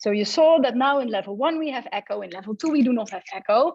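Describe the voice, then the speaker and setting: A woman with a Dutch accent speaks at a fairly quick pace. Her pitch is high and her intonation lively. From Netherlands. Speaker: computer science professor. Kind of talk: conference talk. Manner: animated.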